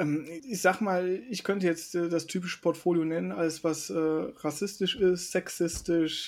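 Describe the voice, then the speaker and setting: A man speaks at a moderate pace. His pitch sits high for a man. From western Germany, Mönchengladbach (NRW). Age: 30s. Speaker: board game influencer. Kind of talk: casual chat.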